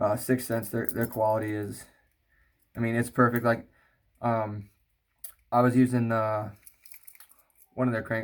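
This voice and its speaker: A man's medium-pitched, flat, monotone voice at a moderate pace. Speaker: fishing video creator. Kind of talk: product unboxing. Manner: halting, many fillers.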